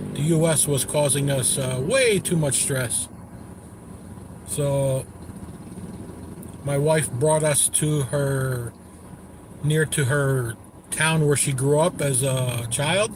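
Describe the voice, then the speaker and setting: Very slow pace and fairly even intonation from a man with a fairly high pitch and an American accent, amid noticeable background noise. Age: 60s. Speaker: travel vlogger. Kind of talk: casual live-stream narration.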